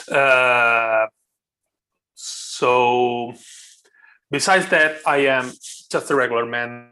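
This man has an Italian accent and a bright, sharp tone. His medium pitch moves with fairly even intonation. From Italy, Rome. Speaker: YouTuber and wet shaving hobbyist. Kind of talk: casual interview chat.

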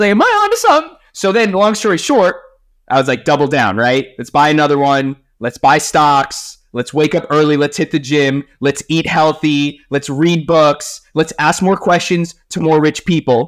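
Recorded very cleanly against a silent background, a man speaks at a moderate pace in a plain, everyday voice, pitched fairly high with ordinary pitch variation. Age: 30s. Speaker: podcast host and life coach. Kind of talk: casual interview chat.

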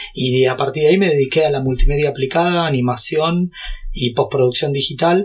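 With a Rioplatense accent, a man speaks fairly quickly at a fairly high pitch with ordinary pitch variation, over noticeable background noise. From Brazil and Argentina. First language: Portuguese (speaking Spanish). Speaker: YouTuber and tech entrepreneur. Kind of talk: interview.

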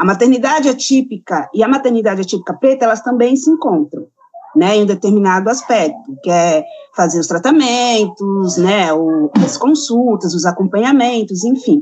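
The voice swings very widely in pitch at a moderate pace. Background noise is noticeable. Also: woman, fairly high pitch for a woman. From São Paulo, Brazil. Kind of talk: interview answer.

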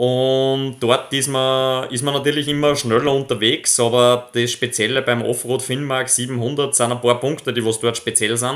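Hardly pausing, a man speaks fairly slowly at medium pitch with flat, monotone intonation. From Upper Austria, near Linz. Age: 20s. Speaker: professional mountain biker. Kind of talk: interview. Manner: halting, many repetitions.

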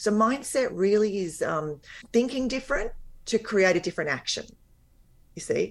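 This woman has an Australian accent. She speaks with lively intonation. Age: 50s. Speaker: weight loss and life coach. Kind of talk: interview. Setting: remote call, audio only.

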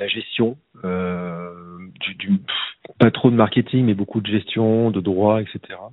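This man speaks at a very slow pace with fairly even intonation and a fairly low pitch. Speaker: teacher, podcaster and coach. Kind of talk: casual interview conversation. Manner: hesitant, many fillers and restarts.

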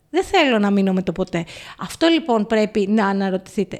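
Keeping a moderate pace, a woman uses an ordinary speaking voice with lively intonation. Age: 50s. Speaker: podcast co-host. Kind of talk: casual chat.

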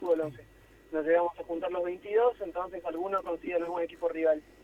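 Background noise is noticeable behind this man. His voice is high-pitched and his intonation fairly even. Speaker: lawyer, amateur footballer. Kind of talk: phone interview.

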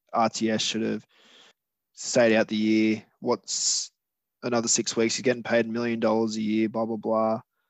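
A man speaks at a moderate pace with an Australian accent. His medium-pitched voice stays flat and monotone. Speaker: stand-in podcast co-host. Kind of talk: casual chat.

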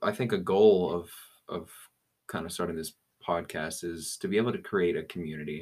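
A man with an American accent and a very deep, low pitch, fairly even intonation, a fairly quick pace and long, frequent pauses. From Colorado. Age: young. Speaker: podcast co-host. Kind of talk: casual chat. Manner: halting.

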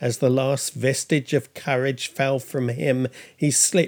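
Simply an unforced reading voice.

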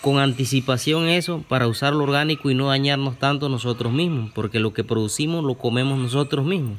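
A man's medium-pitched voice at a moderate pace, ordinary pitch variation, noticeable background noise behind it. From Chiriquí, Panama. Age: young. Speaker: farmer. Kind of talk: interview. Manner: halting.

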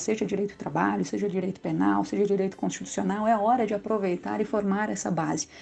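This woman talks fairly quickly at a medium pitch. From Rio Grande do Sul, southern Brazil. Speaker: public prosecutor. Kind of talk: interview. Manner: halting, with fillers.

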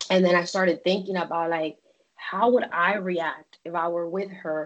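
Hers is a plain, everyday voice, fairly low in pitch for a woman. She keeps a moderate pace and fairly even intonation. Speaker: podcast guest. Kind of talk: casual chat.

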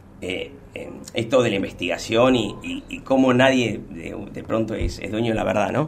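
Noticeable background noise sits behind a man speaking at a medium pitch. He has an Argentine accent. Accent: Rioplatense Argentine Spanish. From Buenos Aires, Argentina (Munro). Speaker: paleontology technician. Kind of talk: casual interview.

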